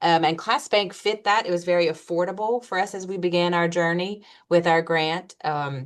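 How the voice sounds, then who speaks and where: There is a slight Louisiana accent in this woman's speech. Her intonation is fairly even, and the background is quiet. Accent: slight Louisiana twang. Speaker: school principal. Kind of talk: webinar presentation. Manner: fast.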